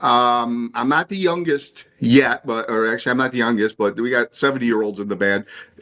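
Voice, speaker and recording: Bright and sharp in tone, a man speaks at a fairly quick pace with hardly any pauses. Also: medium pitch for a man, ordinary pitch variation. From Chicago suburbs, Illinois. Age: 60s. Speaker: drummer. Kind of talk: casual chat.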